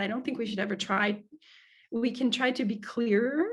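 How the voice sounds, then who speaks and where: In an American accent, a woman talks at a fairly quick pace with fairly even intonation. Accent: American with slight French tinge. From US Midwest, Cincinnati. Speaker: speaking coach. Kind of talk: webinar Q&A answer.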